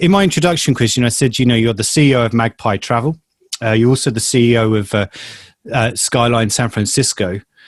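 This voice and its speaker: At a fairly quick pace, a man with a British accent speaks at medium pitch with ordinary pitch variation and very even loudness. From UK. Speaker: trade journalist interviewer. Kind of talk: interview. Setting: video call.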